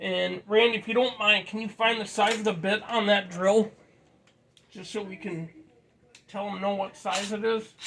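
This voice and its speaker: At a moderate pace, a high-pitched man talks in a monotone, flat intonation with long, frequent pauses and big swings in loudness over noticeable background noise. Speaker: tool repair video maker. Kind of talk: casual tutorial. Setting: living room.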